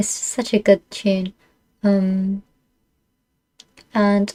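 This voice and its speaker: Her voice somewhat breathy and dark and mellow in tone, a woman speaks at medium pitch in a dry, close sound with no echo. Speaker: streamer. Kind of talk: casual chat. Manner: halting.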